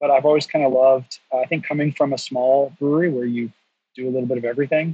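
A man with an American accent at a very fast pace. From North Carolina. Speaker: brewery education director. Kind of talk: casual interview.

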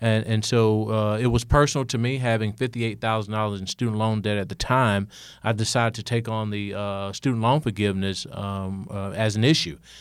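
With an Alabama accent, a man speaks at a fairly quick pace and fairly low pitch, with hardly any pauses and fairly even intonation. The recording is very clean, with a silent background. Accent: Southern US (Alabama). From US South, rural Alabama. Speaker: state legislator and former teacher. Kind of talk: interview.

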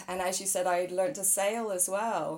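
A woman talks with fairly even intonation and a slightly mellow tone. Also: medium pitch for a woman, moderate pace.

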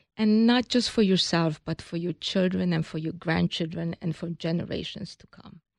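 A woman with a fairly low pitch speaks in a Hungarian accent at a moderate pace, with hardly any pauses and ordinary pitch variation. Her loudness swings widely, and the sound is dry and close with no echo against a quiet background. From Hungary. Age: 60s. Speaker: business founder. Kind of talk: interview.

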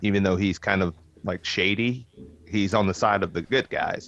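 Here is a man with a normal speaking voice and a fairly low pitch. He keeps a moderate pace and fairly even intonation. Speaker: podcast host. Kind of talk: casual chat.

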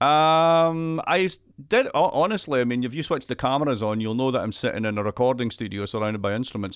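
With a Scottish accent, a man talks very fast in a medium pitch with lively intonation, on a very clean recording with a silent background. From Scotland. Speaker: economist. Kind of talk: casual chat.

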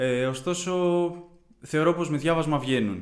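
A man is speaking. His pace is moderate. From Greece, Kiato, Corinthia. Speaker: university student. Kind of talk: interview.

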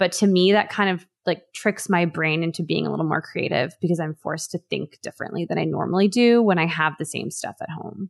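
A woman speaks at a fairly quick pace in a fairly low pitch with ordinary pitch variation and a plain, everyday voice. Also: hardly any pauses, dry, close sound with no echo. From Los Angeles, US West Coast. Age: 30s. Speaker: food writer and recipe developer. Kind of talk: casual chat. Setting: video call.

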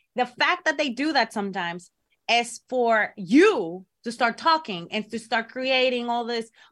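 A woman with a Spanish accent speaks in a bright, sharp tone with lively intonation. The recording is very clean, with a silent background. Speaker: pro wrestler and co-host. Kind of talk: casual chat. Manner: halting.

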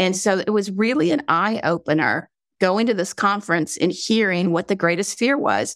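Recorded very cleanly against a silent background, a woman with a slight Southern accent talks at medium pitch, the sound dry and close with no echo. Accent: slight southern drawl. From North Carolina, US South. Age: 60s. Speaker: vacation rental platform founder. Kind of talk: interview. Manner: halting.

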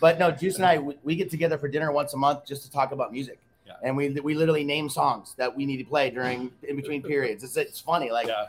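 Very fast, nearly pauseless speech from a man, fairly high in pitch with ordinary pitch variation, big swings in loudness and noticeable background noise. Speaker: bar owner. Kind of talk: interview.

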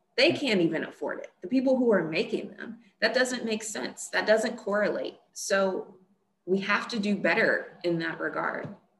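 A woman's unremarkable speaking voice, fairly high in pitch, at a moderate pace, with ordinary pitch variation and big swings in loudness. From US South, Monroe, Louisiana. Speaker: climate scientist. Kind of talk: interview.

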